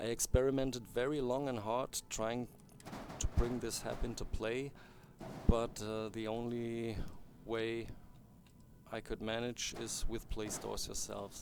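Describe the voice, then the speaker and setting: Long, frequent pauses break up the fairly slow, monotone, flat delivery, with music playing in the background. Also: man, medium pitch for a man. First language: not English. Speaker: game modder. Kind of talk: tutorial. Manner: halting.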